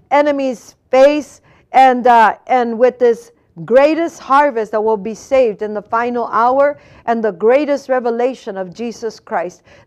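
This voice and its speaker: At a fairly slow pace, a woman with an American accent speaks in a high pitch with ordinary pitch variation over a quiet background. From California, US. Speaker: preacher. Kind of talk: sermon. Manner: earnest, exhortative preacher's delivery with pleading urgency; halting, self-correcting with repeated words and fillers.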